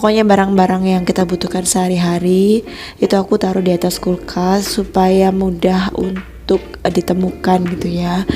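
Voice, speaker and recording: At a moderate pace, a woman talks with monotone, flat intonation over noticeable background noise. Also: medium pitch for a woman. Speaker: homemaker vlogger. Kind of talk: voice-over narration. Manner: casual, chatty.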